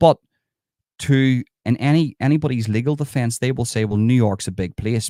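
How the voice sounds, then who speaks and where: In an Irish accent, a man speaks at a moderate pace with ordinary pitch variation and a dark, mellow tone, the sound dry and close with no echo, on a very clean recording with a silent background. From Ireland. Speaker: true crime commentator. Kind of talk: livestream commentary reading news article. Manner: casual, conversational.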